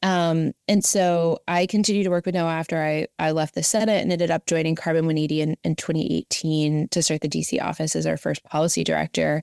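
In a very clean recording with a silent background and a dry, close sound with no echo, a woman with an American accent and a normal speaking voice talks at a fairly quick pace and a fairly low pitch, with fairly even intonation, very even loudness and hardly any pauses. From Southern West Virginia. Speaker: climate policy nonprofit director. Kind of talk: interview.

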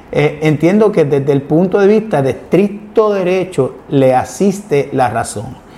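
Against noticeable background noise, a man with a high voice speaks with lively intonation. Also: fairly slow pace. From Puerto Rico, Ponce. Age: 50s. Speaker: lawyer and political analyst hosting an online show. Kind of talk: political commentary and interview.

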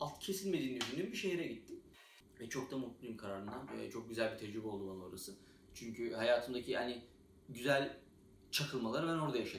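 A man keeps a fairly quick pace and ordinary pitch variation while audible room echo and noticeable background noise surround him. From Turkey. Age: 20s. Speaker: software developer, YouTuber. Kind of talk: casual vlog monologue. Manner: hesitant, many filler sounds.

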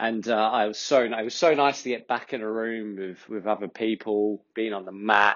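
In an Australian accent, a man with a fairly low pitch speaks at a moderate pace with fairly even intonation and hardly any pauses. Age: 30s. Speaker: podcast host. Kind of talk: casual monologue. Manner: relaxed, with many fillers.

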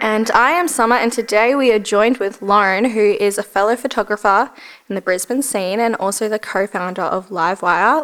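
A woman with an Australian accent speaks at a fairly quick pace and fairly high pitch, with ordinary pitch variation and hardly any pauses. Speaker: podcast host. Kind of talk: casual chat.

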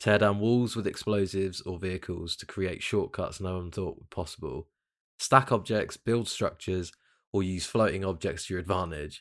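In a very clean recording with a silent background, a man with a British accent speaks at a moderate pace and a fairly low pitch, his intonation fairly even. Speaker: podcast host. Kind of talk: casual chat. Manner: casual, relaxed.

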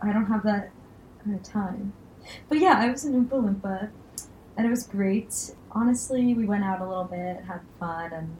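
Pausing long and often, a woman talks at a moderate pace and medium pitch with ordinary pitch variation, over noticeable background noise. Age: 20s. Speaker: medical student and podcast co-host. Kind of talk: casual chat.

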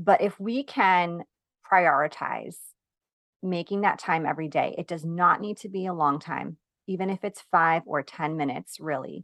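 A woman with an American accent speaks in an ordinary speaking voice at a moderate pace, her fairly low pitch moving with ordinary variation over a quiet background, the sound dry and close with no echo. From New York. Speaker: productivity coach for moms. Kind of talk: interview.

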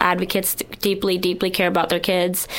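A woman with a fairly low pitch talks in an American accent, her intonation monotone and flat. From Ohio. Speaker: university student, former foster youth. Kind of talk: recorded testimony.

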